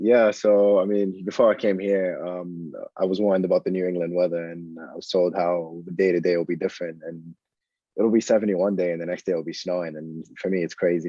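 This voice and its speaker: This man talks at a very fast pace with an Arabic accent. His pitch is very deep and low. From Saudi Arabia. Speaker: student athlete. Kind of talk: podcast interview.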